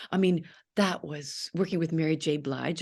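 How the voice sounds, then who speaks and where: In a Canadian accent, a woman speaks with a very deep, low pitch. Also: quiet background. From Canada, Toronto. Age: 60s. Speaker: actress. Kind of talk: interview. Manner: animated; halting.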